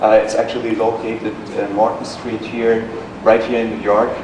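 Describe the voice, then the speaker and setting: A man with a slight German accent, with noticeable background noise and audible room echo. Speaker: corporate presenter. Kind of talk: business presentation. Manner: hesitant, many fillers.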